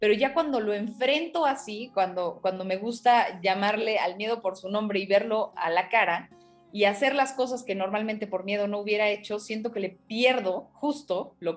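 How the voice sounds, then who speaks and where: Music in the background behind a woman at a moderate pace, fairly high in pitch, with ordinary pitch variation and hardly any pauses. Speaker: TV news anchor and broadcaster. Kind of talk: interview answer, personal reflection. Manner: conversational, reflective, with hesitations.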